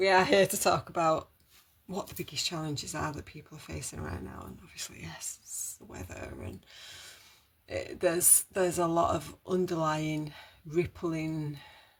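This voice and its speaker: In a British accent, the speaker talks at a moderate pace. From Britain. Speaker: holistic wellbeing live streamer. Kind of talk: casual live stream monologue. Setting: live stream. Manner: rambling, hesitant with fillers.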